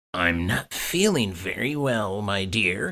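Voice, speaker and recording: Putting on a character voice, a man speaks fairly slowly at a fairly low pitch. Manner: mild, gentle.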